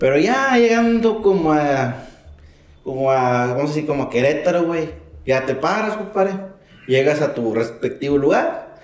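Speaking in a Mexican accent at a moderate pace, a man with a fairly high pitch makes very wide pitch swings amid audible room echo and noticeable background noise. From Mexico. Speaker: truck driver. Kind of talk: casual chat.

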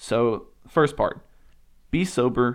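Lively intonation marks the speech of a man with a Southern US accent. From US South, Alabama. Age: 20s. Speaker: podcast host. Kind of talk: solo monologue podcast.

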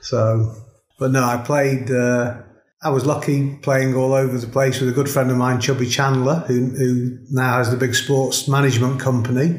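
In a room with audible echo, a man speaks fairly slowly in a somewhat breathy voice with monotone, flat intonation and very even loudness. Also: medium pitch for a man. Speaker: golf club director, former pro golfer. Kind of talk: casual chat. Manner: hesitant, many fillers.

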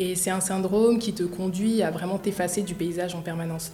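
Amid noticeable background noise and audible room echo, a woman of medium pitch speaks at a moderate pace with fairly even intonation. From Paris suburbs, France. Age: 20s. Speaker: entrepreneur. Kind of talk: interview. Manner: hesitant.

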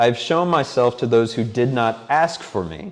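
This man has an unremarkable speaking voice. His intonation is lively. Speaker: preacher. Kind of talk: sermon. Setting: church.

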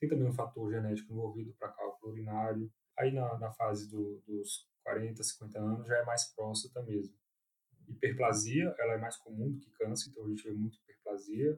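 A somewhat breathy voice with a Brasília accent, at a moderate pace and with fairly even intonation. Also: man, medium pitch for a man. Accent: Brazilian Portuguese, Brasília. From Brazil, Brasília. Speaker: urologist. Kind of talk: interview. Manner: halting, frequent repetitions.

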